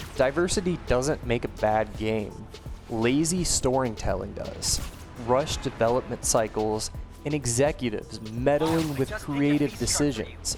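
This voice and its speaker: Over music in the background, a man talks at a moderate pace, at a medium pitch with ordinary pitch variation. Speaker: video essayist. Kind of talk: video essay commentary over gameplay. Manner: some stuttering, filler words.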